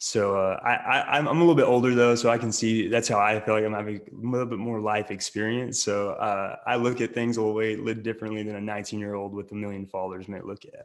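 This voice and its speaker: A man with an Oklahoma accent at a fairly low pitch, very fast pace, fairly even intonation, and hardly any pauses. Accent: Oklahoma rural Southern US. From western Oklahoma. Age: 20s. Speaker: actor and social media creator. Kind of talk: podcast interview.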